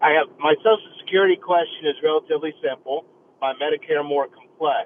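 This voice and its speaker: This is a plain, everyday voice at a fairly quick pace. The intonation stays fairly even. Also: man, fairly high pitch for a man. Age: 60s. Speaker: caller. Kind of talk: call-in question. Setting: phone call.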